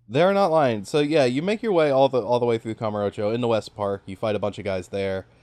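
A man with a plain, everyday voice, medium pitch and ordinary pitch variation, at a fairly quick pace, in a dry, close sound with no echo. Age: 20s. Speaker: video game podcast host. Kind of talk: casual chat.

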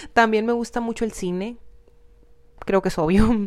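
A woman is speaking here. She talks in a northern Mexican accent. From Mexico, Hermosillo, Sonora. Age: 20s. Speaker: YouTube content creator, podcast host. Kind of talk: casual solo monologue. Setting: home studio in her bedroom. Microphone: new microphone.

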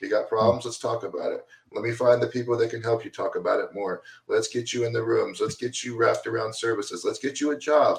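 A very fast-talking man with big swings in loudness. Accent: American. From Florida, Deland near Daytona Beach. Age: 40s. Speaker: recovery advocate, nonprofit founder. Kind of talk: casual chat.

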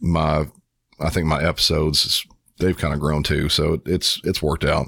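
In an American accent, a man with a very deep, low pitch speaks at a moderate pace in a very clean recording with a silent background. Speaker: 911 dispatcher and true crime podcaster. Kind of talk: casual interview chat.

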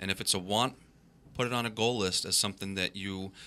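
A man's very deep, low voice, bright and sharp in tone, with fairly even intonation. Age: 40s. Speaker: financial advisor, fill-in radio host. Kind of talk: radio talk show. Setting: studio.

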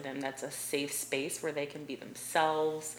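A woman with an American accent speaks in a very deep, low pitch at a moderate pace. Audible room echo and noticeable background noise are present. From Ohio, US (Delaware, near Columbus). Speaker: portrait photographer. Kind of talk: podcast interview.

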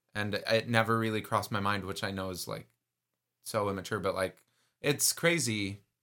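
On a very clean recording with a silent background, a man with an American accent speaks at a moderate pace, his fairly low voice bright and sharp in tone, with ordinary pitch variation. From Texas. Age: 20s. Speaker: podcast host. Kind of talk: casual chat. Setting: home recording, separate rooms.

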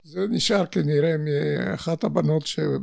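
Very slowly, a man speaks in a fairly high pitch. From Poland (Warsaw). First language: Polish (speaking Hebrew). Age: 80s+. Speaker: Holocaust survivor. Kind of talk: testimony.

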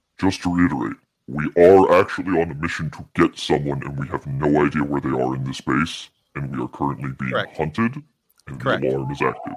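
A man's put-on character voice, very deep and low in pitch, at a fairly quick pace. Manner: anxious, hurried.

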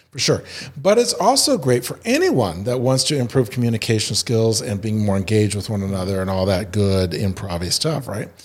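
In an ordinary speaking voice, a man with an American accent talks at a fairly quick pace, fairly low in pitch and with ordinary pitch variation. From Indiana. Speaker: improv theater founder. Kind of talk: casual interview.

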